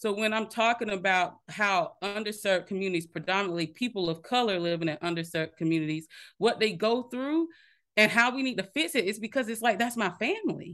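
This woman has a plain, everyday voice at medium pitch, with an American accent and lively intonation. She talks fairly quickly against a quiet background. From South Carolina, small town. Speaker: healthcare technology executive. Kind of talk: interview.

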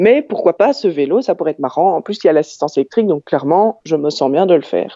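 This woman has a fairly low-pitched voice. Her intonation is lively. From Belgium, Ottignies-Louvain-la-Neuve area. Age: 30s. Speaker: transit company documentalist. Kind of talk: casual interview.

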